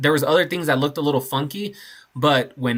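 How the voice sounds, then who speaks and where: A man speaks at a fairly high pitch with ordinary pitch variation. His tone is bright and sharp on a very clean recording with a silent background. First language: not English. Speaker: concrete contractor. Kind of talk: casual job-site vlog narration.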